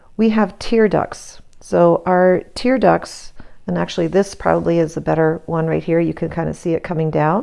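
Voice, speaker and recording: A woman mumbles. Her pace is moderate. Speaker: art teacher. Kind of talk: tutorial. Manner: mumbling.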